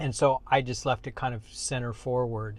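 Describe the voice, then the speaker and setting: A man with a plain, everyday voice at medium pitch and a moderate pace. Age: 60s. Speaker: car reviewer. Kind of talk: tutorial. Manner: casual.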